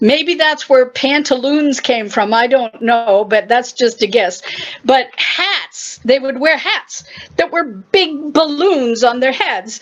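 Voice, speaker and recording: A woman speaks very slowly with a high pitch and lively intonation. Noticeable background noise is present. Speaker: poetry reciter. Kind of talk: short explanatory talk.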